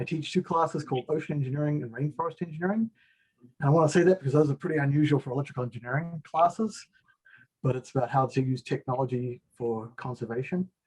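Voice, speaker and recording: Speaking at a very fast pace in a New Zealand accent, a man with a somewhat breathy, fairly high-pitched voice shows ordinary pitch variation, recorded with a dry, close sound and no echo. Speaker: engineering professor. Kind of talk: video-call self-introduction. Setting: online video call.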